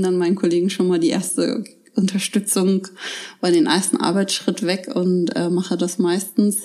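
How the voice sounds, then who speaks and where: Here is an ordinary speaking voice from a woman with a medium pitch. She keeps a moderate pace and ordinary pitch variation. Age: 30s. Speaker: daycare centre director. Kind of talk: interview. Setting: at her daycare centre.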